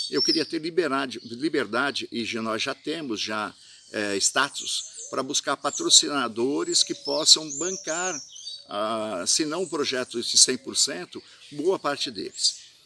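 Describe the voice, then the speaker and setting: A fairly slow male speaker with noticeable background noise. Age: 60s. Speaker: festival organizer. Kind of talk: monologue statement to camera. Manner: halting, many fillers.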